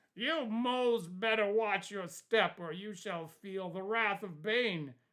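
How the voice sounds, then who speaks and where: A put-on character voice moves at a fairly slow pace with a fairly high pitch. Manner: threatening.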